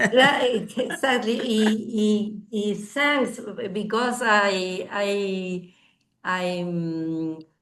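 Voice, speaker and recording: A woman with a Spanish accent, medium in pitch, very slow and with lively intonation, in audible room echo. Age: 60s. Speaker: language student. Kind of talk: language class discussion. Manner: halting, many fillers.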